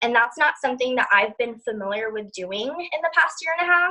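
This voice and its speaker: A woman speaks with a high pitch and lively intonation. Her pace is fairly quick. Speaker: network marketing distributor. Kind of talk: casual group call tips sharing. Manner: fast.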